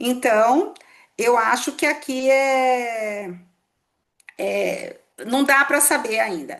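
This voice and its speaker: A woman speaks very slowly at a high pitch, with long, frequent pauses. Her pitch varies in an ordinary way. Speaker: tax law professor. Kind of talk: lecture.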